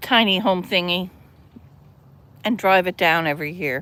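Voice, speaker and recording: In a Newfoundland accent, a woman speaks very slowly at a medium pitch with ordinary pitch variation, on a very clean recording with a silent background. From Newfoundland, St. John's. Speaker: livestreamer. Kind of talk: casual livestream chat. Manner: animated.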